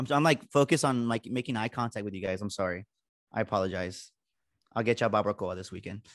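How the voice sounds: Fast delivery with ordinary pitch variation. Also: man, fairly low pitch for a man.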